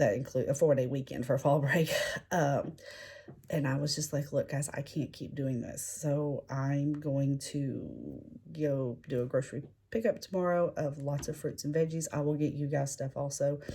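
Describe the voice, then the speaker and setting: At a moderate pace, a woman talks with fairly even intonation in a very deep, low pitch. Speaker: teacher and mom vlogger. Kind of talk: casual vlog talk to camera. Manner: hesitant, many fillers.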